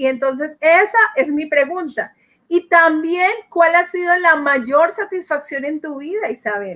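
This woman's voice is extremely high-pitched and bright and sharp, with ordinary pitch variation. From Colombia. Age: 40s. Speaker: network marketing leader. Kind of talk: panel question. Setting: video call.

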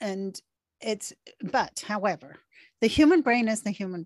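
On a very clean recording with a silent background and a dry, close sound with no echo, a woman talks at a medium pitch in an unremarkable speaking voice. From Venezuela and Canada, born in England. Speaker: author and behavioural trainer. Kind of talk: interview.

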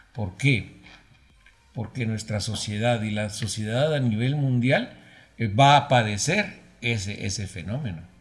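A man speaks fairly slowly in a somewhat breathy way. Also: medium pitch for a man, ordinary pitch variation. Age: 60s. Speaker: broadcasting professor. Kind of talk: interview. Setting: studio.

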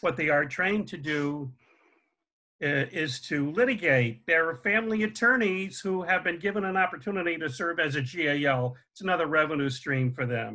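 With an American accent, a man speaks at a moderate pace in a fairly high pitch, his tone bright and sharp and his intonation lively. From US Northeast, Connecticut. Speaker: family therapist and parental alienation expert. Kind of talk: interview. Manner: halting, many fillers.

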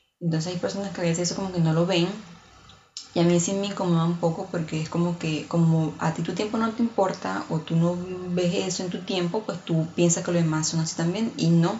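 Through noticeable background noise, a woman with a fairly low pitch speaks at a fairly quick pace with fairly even intonation. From outside Mexico. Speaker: podcast host. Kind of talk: casual monologue.

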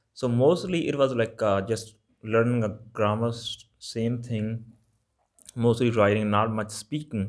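A man with a Punjabi accent speaks at a fairly slow pace, using a medium pitch and fairly even intonation. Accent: Punjabi-accented English, Malwa. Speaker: Punjabi language teacher podcaster. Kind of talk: lesson-style monologue. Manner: informal, hesitant with fillers.

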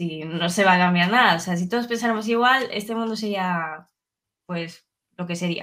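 A woman speaks at a medium pitch with a bright, sharp tone and ordinary pitch variation, in a very clean recording with a silent background. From Ribadeo, coast of Lugo, Galicia, Spain. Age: 20s. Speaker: podcast guest. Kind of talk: casual chat.

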